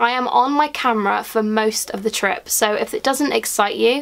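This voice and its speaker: There is noticeable background noise. A woman speaks with ordinary pitch variation. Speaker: YouTuber. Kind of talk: casual vlog talk to camera. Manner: fast.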